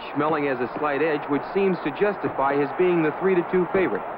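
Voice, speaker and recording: A man talks fairly quickly with ordinary pitch variation while noticeable background noise plays underneath. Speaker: newsreel narrator. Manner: brisk, authoritative, declamatory newsreel announcer delivery.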